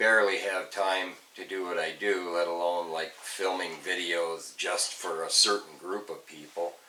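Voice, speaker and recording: Noticeable background noise surrounds a man's voice. He talks at a fairly slow pace with a very deep, low pitch. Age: 60s. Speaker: car restoration youtuber. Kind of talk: casual vlog talk. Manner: halting, many fillers.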